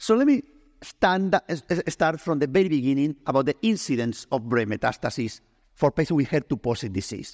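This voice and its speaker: Recorded dry and close with no echo, a man with a Spanish accent speaks at a fairly high pitch with very wide pitch swings. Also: fairly quick pace, very clean recording, silent background. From Spain. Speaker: oncologist. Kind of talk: medical education presentation. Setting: stage with audience.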